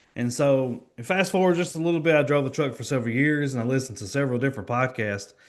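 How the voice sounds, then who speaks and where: Over a quiet background, a man with a Kentucky accent speaks very fast at a medium pitch, his pitch varying in an ordinary way. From Kentucky, small town. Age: 20s. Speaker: financial professional. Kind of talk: podcast interview.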